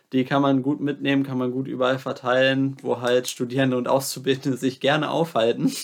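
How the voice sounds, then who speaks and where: Against a very clean, silent background, a man talks at a fairly quick pace with hardly any pauses, a medium pitch and monotone, flat intonation. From Lower Saxony, Hannover region. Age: 20s. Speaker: student. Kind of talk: interview.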